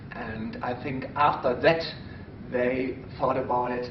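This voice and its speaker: Speaking in a German accent, a man with a medium pitch and ordinary pitch variation is heard through noticeable background noise and audible room echo. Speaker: stage pickpocket performer. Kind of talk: interview. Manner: halting.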